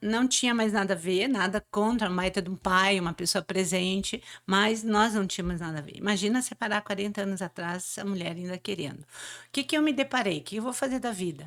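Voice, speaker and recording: A woman's medium-pitched voice at a fairly quick pace with ordinary pitch variation, on a very clean recording with a silent background. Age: 60s. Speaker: motivational speaker. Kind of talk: interview. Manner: halting.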